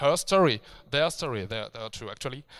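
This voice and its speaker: In a very clean recording with a silent background, a man speaks with a French accent at a fairly high pitch. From France. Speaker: video game writer. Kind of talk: conference talk. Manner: halting, many fillers and restarts.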